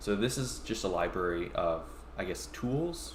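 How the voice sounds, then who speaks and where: The man talks fairly slowly, with audible room echo around his voice. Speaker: tech company founder and tutorial streamer. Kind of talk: live-streamed coding tutorial. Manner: halting with many fillers.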